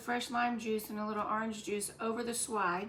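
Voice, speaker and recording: In a Southern US accent, a woman speaks at a fairly high pitch. Room echo is audible. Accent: Southern US (Georgia). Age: 60s. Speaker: cooking channel host. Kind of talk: cooking tutorial. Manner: casual, hesitant with fillers.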